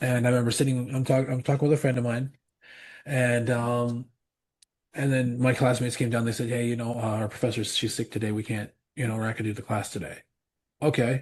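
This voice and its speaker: Against a quiet background, a man speaks very fast, somewhat breathy and monotone, with long, frequent pauses. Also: medium pitch for a man. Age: 40s. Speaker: pastor and metal musician. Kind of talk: casual chat. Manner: halting, many repeats and fillers.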